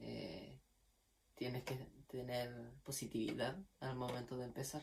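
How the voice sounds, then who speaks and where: Somewhat breathy and at a medium pitch, a man talks at a fairly slow pace with fairly even intonation. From Chile, Magallanes region (Puerto Natales). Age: 20s. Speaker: violin student. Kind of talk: testimony. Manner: casual, with fillers.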